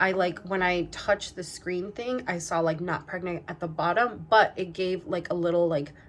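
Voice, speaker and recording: Over noticeable background noise, a woman speaks at a moderate pace in a medium pitch with ordinary pitch variation. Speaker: lifestyle vlogger. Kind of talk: personal vlog. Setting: at home.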